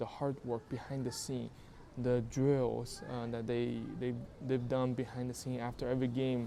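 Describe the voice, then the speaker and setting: With a non-native accent, the speaker talks at a moderate pace. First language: not English. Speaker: YouTube creator. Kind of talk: casual talk to camera. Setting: outdoors in public.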